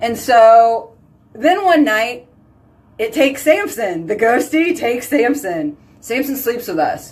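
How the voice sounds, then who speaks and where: A woman with a fairly high pitch speaks loudly and in an animated tone at a fairly slow pace, with noticeable background noise. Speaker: skincare consultant and live video host. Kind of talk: casual chat, live video storytelling. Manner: loud and boisterous.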